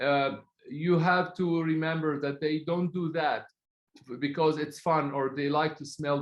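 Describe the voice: A man's fairly high voice, fairly slow, with fairly even intonation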